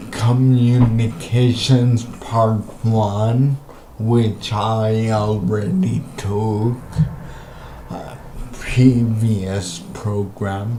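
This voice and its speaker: Medium-pitched male voice at a very slow pace, fairly even in intonation, over noticeable background noise. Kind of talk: casual talk to camera.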